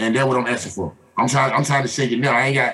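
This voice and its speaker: A man with a fairly high pitch rattles along at a very fast pace, his pitch varying in an ordinary way amid noticeable background noise. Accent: American. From Atlanta, Georgia (US South). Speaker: sports podcast host. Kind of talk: casual chat. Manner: animated.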